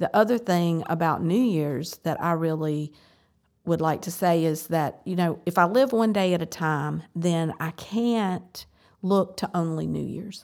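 A woman with an American accent speaks in a plain, everyday voice at a fairly slow pace, her fairly low pitch showing ordinary variation on a very clean recording with a silent background. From US South. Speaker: church member in recovery. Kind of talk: casual chat.

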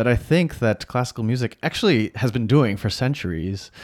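Speaking with an American accent, a man keeps a moderate pace and ordinary pitch variation. The recording is very clean, with a silent background. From United States. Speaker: concert pianist. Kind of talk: casual interview chat. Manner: animated, heated at times.

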